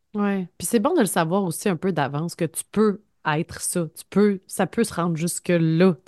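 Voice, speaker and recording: In a Quebec accent, a woman talks at a fairly slow pace with a fairly low pitch. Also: ordinary pitch variation. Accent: Québécois French. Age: 30s. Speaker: podcast co-host, journalist. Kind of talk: casual chat.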